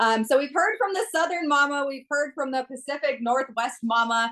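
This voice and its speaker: Here a woman talks at a fairly quick pace with a Minnesota accent. Her pitch shows ordinary variation. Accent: Minnesotan. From US Midwest, central Minnesota. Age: 20s. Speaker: network marketer. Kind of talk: testimony. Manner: fast; animated.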